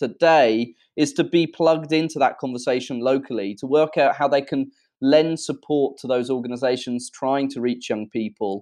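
At a fairly quick pace, a man with a British accent speaks in a fairly high pitch with ordinary pitch variation. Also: quiet background. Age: 20s. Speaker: social enterprise founder. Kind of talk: interview. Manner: hesitant, many fillers.

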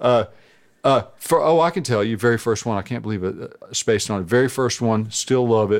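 A man with an ordinary speaking voice and an American accent talks at a fairly quick pace, medium pitch and ordinary pitch variation. The recording is very clean, with a silent background. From US South, coastal North Carolina. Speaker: guitarist. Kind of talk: casual chat.

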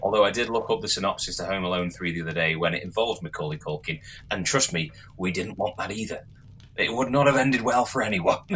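Very fast, lively speech from a man with an English accent and a fairly low pitch. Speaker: podcast co-host. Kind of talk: casual chat.

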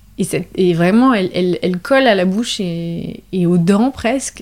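Speaking at a very slow pace, a woman uses a medium pitch with ordinary variation. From western France, La Rochelle. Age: 30s. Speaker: artisanal fish smoker, business co-founder. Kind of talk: interview testimony. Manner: hesitant with many fillers.

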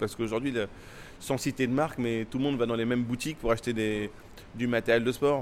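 The man's pitch is medium. His delivery keeps fairly even intonation. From Paris, France (came from Timbuktu, Mali at 10). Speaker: Muay Thai champion and gym founder. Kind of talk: interview. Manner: halting, with frequent repetitions.

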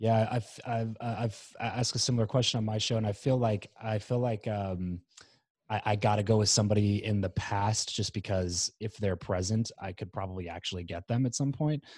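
In a very clean recording with a silent background, a man with an American accent speaks at a moderate pace, somewhat breathy, with a fairly low pitch and fairly even intonation. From US, Southern California (northern LA County). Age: 20s. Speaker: podcast host, entrepreneur. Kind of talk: interview conversation. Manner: halting, many fillers and restarts.

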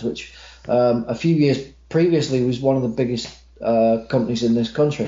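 A man's somewhat breathy voice at a moderate pace with fairly even intonation. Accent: American. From Manchester, England. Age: 30s. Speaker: wrestling ring announcer. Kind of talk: casual chat.

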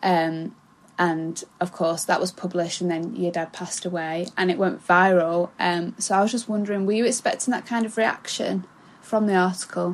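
A normal speaking voice from a woman, medium in pitch, at a moderate pace. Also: fairly even intonation. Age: 20s. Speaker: podcast co-host. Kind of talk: casual interview.

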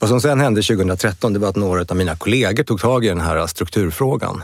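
A man talks at a fairly quick pace with a very deep, low pitch and ordinary pitch variation. The recording is very clean, with a silent background. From Sweden, Stockholm. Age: 50s. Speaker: law firm CEO and lawyer. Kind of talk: interview conversation.

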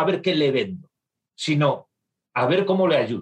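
The man's voice is high in pitch with ordinary pitch variation. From northern Spain. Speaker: business executive. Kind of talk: interview.

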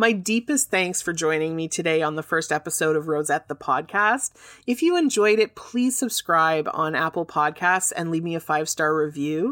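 With a Canadian accent, a woman speaks at a moderate pace with hardly any pauses, her fairly low voice carrying lively intonation and an enthusiastic tone in a dry, close sound with no echo. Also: very clean recording, silent background. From Canada. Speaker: podcast host and fair trade business owner. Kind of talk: scripted-style solo podcast talk, educational. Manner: enthusiastic, friendly.

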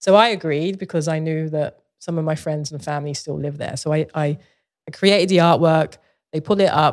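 A woman's very deep, low voice in a London accent, fairly quick and fairly even in intonation, on a very clean recording with a silent background. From Southeast London, England. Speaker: visual artist. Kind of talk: casual interview chat.

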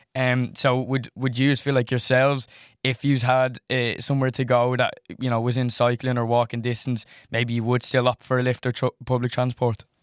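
In an Irish accent, a man speaks at a moderate pace and medium pitch with monotone, flat intonation, in a very clean recording with a silent background and a dry, close sound with no echo. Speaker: college student. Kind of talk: student panel discussion. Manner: halting, repeats words.

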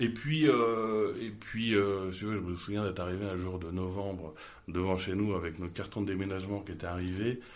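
At a moderate pace, a man with a fairly low pitch speaks with fairly even intonation amid audible room echo. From Paris, France. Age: 30s. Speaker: entrepreneur. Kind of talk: interview conversation.

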